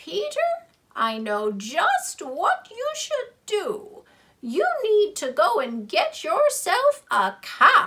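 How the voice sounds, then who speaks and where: A woman uses a put-on character voice, raised and projected, at an extremely high pitch with very wide pitch swings and a very slow pace. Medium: read story. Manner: assured, sagely.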